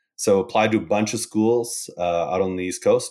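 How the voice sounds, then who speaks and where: Speaking at a fairly quick pace, a man with a Canadian accent has a fairly low pitch and a plain, everyday voice. The recording is very clean, with a silent background. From Calgary, Canada. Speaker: oil and gas analytics consultant. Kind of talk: casual chat.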